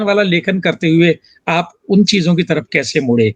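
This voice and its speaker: With a dry, close sound and no echo, a man speaks with lively intonation. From Rajasthan. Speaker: talk show host and writer. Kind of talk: interview. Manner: formal.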